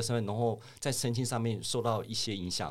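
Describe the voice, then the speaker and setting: A man at medium pitch and a fairly quick pace. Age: 50s. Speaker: finance professional. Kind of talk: casual interview.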